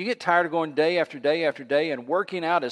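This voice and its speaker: Against a quiet background, a man talks at a very fast pace in a fairly high pitch, with a dry, close sound and no echo. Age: 60s. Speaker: pastor. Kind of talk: sermon. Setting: church.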